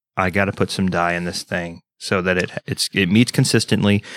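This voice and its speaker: At a moderate pace, a man with an American accent speaks in a fairly low pitch with fairly even intonation, in a very clean recording with a silent background and a dry, close sound with no echo. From Texas. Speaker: podcast co-host, military veteran. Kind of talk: casual chat.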